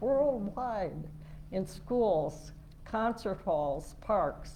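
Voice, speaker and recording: A woman with an Upper Midwest accent speaks at a very slow pace. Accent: Upper Midwest American. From US Midwest, southern Minnesota. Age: 80s+. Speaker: lay speaker. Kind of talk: talk at a worship service.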